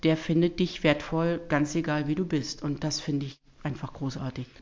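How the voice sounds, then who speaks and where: A woman's very deep, low voice, monotone and flat in intonation, at a moderate pace. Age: 50s. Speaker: church leader and social worker. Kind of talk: casual interview, faith testimony.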